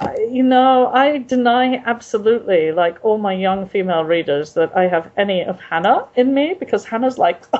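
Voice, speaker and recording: A woman's fairly high voice with very wide pitch swings and an English accent, at a moderate pace with hardly any pauses, over noticeable background noise. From England. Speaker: author. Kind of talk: interview. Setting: video call. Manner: halting.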